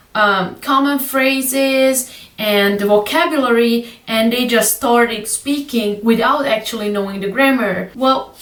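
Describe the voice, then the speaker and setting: Noticeable background noise and audible room echo surround a woman whose high pitch carries ordinary variation. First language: Hungarian. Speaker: language learning youtuber. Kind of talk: casual tutorial vlog. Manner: hesitant, many fillers.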